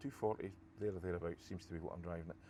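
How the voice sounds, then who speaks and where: Here is a man with a Scottish accent. His pitch is very deep and low, with ordinary pitch variation. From Scotland. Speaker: golf vlogger. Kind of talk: casual commentary while playing golf. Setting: outdoors on a golf course.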